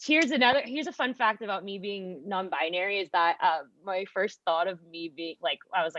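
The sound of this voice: A woman with a fairly bright tone talks at a fairly quick pace, her sound dry and close with no echo. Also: medium pitch for a woman, ordinary pitch variation.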